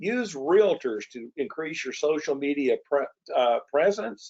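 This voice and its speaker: In a plain, everyday voice, a man speaks fairly slowly with lively intonation and fairly high pitch. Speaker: promotional products distributor and webinar host. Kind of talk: webinar presentation. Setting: online webinar.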